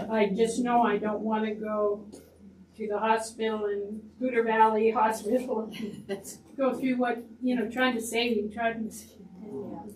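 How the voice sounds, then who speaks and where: A fairly high-pitched woman talks at a fairly slow pace in a monotone, flat way, with big swings in loudness and audible room echo. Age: 80s+. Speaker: audience member. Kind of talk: testimony.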